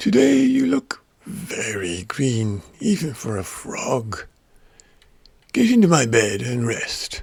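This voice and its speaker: Speaking very slowly, a man uses a raspy, put-on character voice at medium pitch. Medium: read story.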